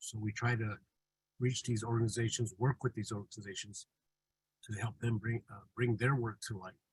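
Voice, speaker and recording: A man speaks in a monotone, flat intonation, his voice somewhat breathy. The sound is dry and close, with no echo. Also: medium pitch for a man, moderate pace. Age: 60s. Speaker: tour guide. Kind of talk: webinar presentation. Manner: halting, many fillers.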